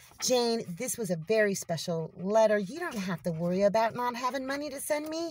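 Fairly high in pitch and somewhat breathy, a woman speaks at a moderate pace with very wide pitch swings. The sound is dry with no echo, over light background noise. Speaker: homestead vlogger. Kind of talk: casual vlog narration. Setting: at home and outdoors. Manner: animated. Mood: warm, grateful, delighted. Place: car. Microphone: phone near.

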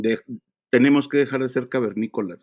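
With fairly even intonation and a moderate pace, a man talks against a quiet background. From Mexico. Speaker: livestream host. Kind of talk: casual livestream chat. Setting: live stream. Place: home room. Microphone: earbuds.

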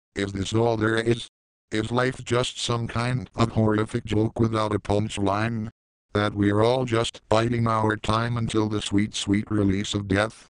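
In a put-on character voice, a man sounds robotic, with medium pitch and monotone, flat intonation. His pace is moderate and his loudness very even. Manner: flat, monotone despair.

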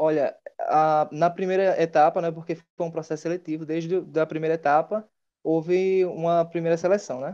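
Against a quiet background, a man speaks at a high pitch in a dark, mellow tone with monotone, flat intonation. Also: moderate pace. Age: 20s. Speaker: former student, new intern; interview guest. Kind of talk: interview. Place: home room. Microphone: earbuds.

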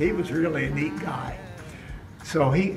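Clear music plays in the background while a man speaks. He goes at a fairly slow pace with ordinary pitch variation. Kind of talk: informal story about his photograph. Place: hall. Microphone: camera far.

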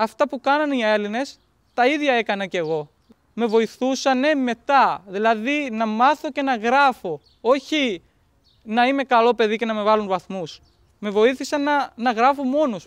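A man speaks at an extremely high pitch with ordinary pitch variation. His pace is fairly slow, and the background is quiet. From Pakistan. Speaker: interpreter and student. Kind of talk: documentary interview. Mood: calm, grateful, reflective. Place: open country.

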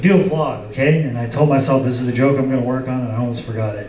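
The speech moves at a fast pace, with audible room echo. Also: man, medium pitch for a man, fairly even intonation, slightly mellow tone.

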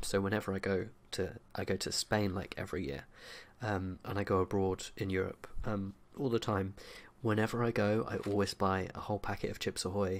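At a moderate pace, the speaker uses a normal speaking voice. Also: man. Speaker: vlogger. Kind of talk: casual vlog chat. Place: home room. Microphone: studio mic.

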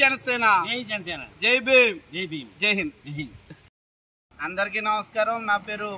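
A man uses a raised, projected voice with a high pitch and a bright, sharp tone. His loudness swings widely while his pitch varies in an ordinary way. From Konaseema, Andhra Pradesh; Andhra Pradesh. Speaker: local party activist. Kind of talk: on-location political protest statement. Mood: critical, satirical complaint. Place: open country.

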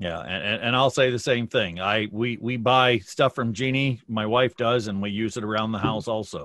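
Speaking with an ordinary speaking voice and an American accent, a man keeps a medium pitch, a moderate pace and fairly even intonation, with hardly any pauses. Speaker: beekeeping association director. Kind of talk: announcement. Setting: video call.

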